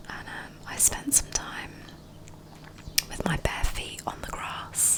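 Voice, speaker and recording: A woman whispers at a very slow pace, with big swings in loudness. Noticeable background noise runs underneath. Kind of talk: ASMR whispered rambles while drawing. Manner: whispered, soft-spoken.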